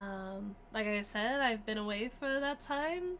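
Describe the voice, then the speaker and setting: Speaking very slowly, a woman with an Australian accent uses a fairly high pitch and lively intonation. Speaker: streamer. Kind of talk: casual chat. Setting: livestream. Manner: casual, filler-heavy.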